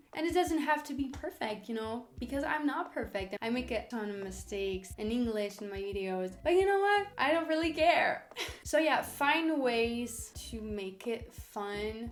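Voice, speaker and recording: There is noticeable background noise as a woman with a fairly high pitch talks at a moderate pace with lively intonation. She leaves hardly any pauses. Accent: French. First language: French. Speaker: language learning YouTuber. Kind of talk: casual vlog tips.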